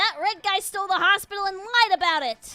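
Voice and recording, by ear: A put-on character voice goes extremely high in pitch at a fairly quick pace. Faint music plays in the background.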